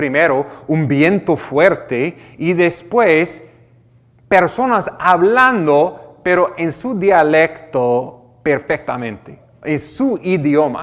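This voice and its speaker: Speaking at a very slow pace, a man with an American accent uses lively intonation at a fairly high pitch. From United States. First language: English (speaking Spanish). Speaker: pastor. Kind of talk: sermon. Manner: halting, with repetitions.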